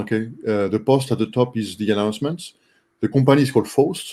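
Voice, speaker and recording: In a French accent, the speaker moves at a fairly quick pace with ordinary pitch variation. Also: man. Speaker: online community member, robotics project participant. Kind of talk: casual group video call discussion. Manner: halting, many fillers (uh, um, okay).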